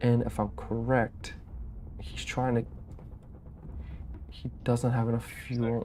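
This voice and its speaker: Whispering very slowly, a man leaves long, frequent pauses. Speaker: game commentator. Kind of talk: live commentary.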